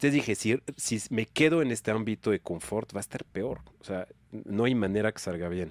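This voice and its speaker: On a very clean recording with a silent background and a dry, close sound with no echo, a man talks at a fairly quick pace in a fairly low pitch with ordinary pitch variation. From France. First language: French (speaking Spanish). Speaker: nonprofit executive. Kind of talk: casual podcast interview. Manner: casual slangy.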